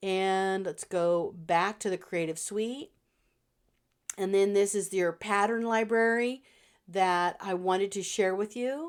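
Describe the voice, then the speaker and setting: A woman talks at a fairly slow pace and medium pitch in an ordinary speaking voice. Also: very clean recording, silent background. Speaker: digital planner designer. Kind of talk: product walkthrough tutorial. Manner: casual with many fillers.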